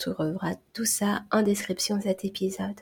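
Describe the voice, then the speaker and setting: Pitch varies in an ordinary way as this somewhat breathy voice proceeds fairly slowly. Its tone is dark and mellow. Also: woman. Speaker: hypnotherapist and stop-smoking coach. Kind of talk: solo podcast monologue.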